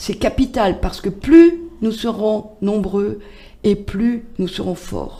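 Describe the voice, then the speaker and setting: Talking at a very slow pace, a woman with a medium pitch has a dark, mellow tone and vocal fry. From France, Loiret (Chécy). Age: 60s. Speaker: patient association president. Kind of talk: radio interview. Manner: hesitant, many fillers.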